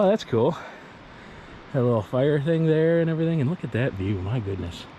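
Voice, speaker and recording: Noticeable background noise beneath speech with very wide pitch swings. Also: man, fairly high pitch for a man. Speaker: outdoors vlogger. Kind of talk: vlog. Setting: outdoors. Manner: casual, thinking aloud; loud.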